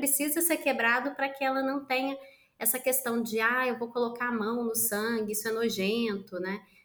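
A woman speaks in a raised, projected voice with a high pitch. Her pitch varies in an ordinary way at a moderate pace. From Minas Gerais, Brazil. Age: 30s. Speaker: social entrepreneur. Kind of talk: interview.

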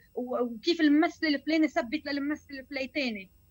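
This woman's voice is high in pitch. She speaks at a moderate pace. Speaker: singer and actress. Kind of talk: interview. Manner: animated.

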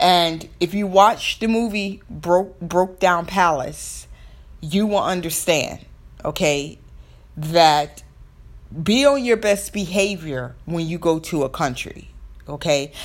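A woman with an American accent, fairly low in pitch, lively in intonation and very slow in pace. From US South. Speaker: podcast host. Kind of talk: solo podcast monologue.

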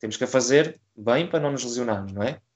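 A man speaks at a very fast pace. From Portugal, Coimbra. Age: 20s. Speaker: crossfit athlete. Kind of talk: interview. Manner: halting, many repetitions.

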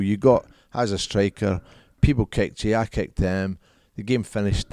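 Over a very clean recording with a silent background, a man with a strong Scottish accent speaks at a fairly quick pace in a fairly low pitch with ordinary pitch variation. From Scotland. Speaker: former professional footballer and business CEO. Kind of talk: casual interview chat.

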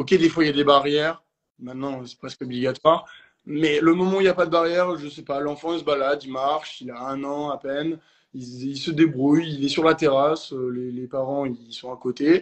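A man's plain, everyday voice, fairly high in pitch, at a moderate pace with fairly even intonation. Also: big swings in loudness. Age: young. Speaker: swimming instructor. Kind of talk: live online debate.

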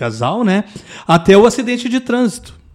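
Using a plain, everyday voice, a man talks with lively intonation. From Rio Grande do Sul, Pelotas. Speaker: retired military police sergeant, traffic safety specialist. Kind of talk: casual interview chat.

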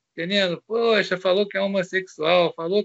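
This man talks with a high pitch. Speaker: comic magazine creator and pastor. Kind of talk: interview.

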